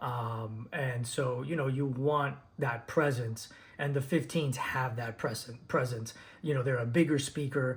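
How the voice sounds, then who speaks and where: Somewhat breathy and at a medium pitch, a man talks at a fairly slow pace with fairly even intonation. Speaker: DJ and speaker reviewer. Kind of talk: unscripted product review video. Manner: halting, many fillers and repeats.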